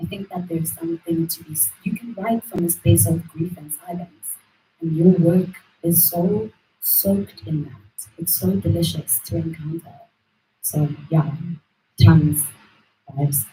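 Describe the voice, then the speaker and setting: A woman with a dark, mellow tone and vocal fry talks fairly slowly at a fairly low pitch, with long, frequent pauses and big swings in loudness. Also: lively intonation. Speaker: panel speaker on queer writing. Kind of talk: panel discussion. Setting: live event with audience. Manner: animated, many fillers.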